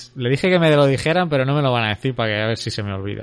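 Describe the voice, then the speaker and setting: Speech comes at a very fast pace. Its intonation sounds lively. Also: man. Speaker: podcast host. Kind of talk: casual chat.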